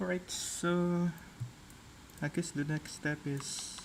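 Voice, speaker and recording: A non-native accent colors the speech. Words come out very slowly. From Southeast Asia. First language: not English. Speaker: 3D modeling streamer. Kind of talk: live stream tutorial. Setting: live stream. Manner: halting.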